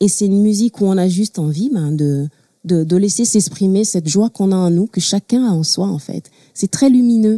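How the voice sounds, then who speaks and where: A woman's dark, mellow tone with ordinary pitch variation, in a dry, close sound with no echo. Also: medium pitch for a woman, moderate pace. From Togo, Lomé. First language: Mina (speaking French). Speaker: singer-songwriter. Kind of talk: talk show interview. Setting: studio with audience.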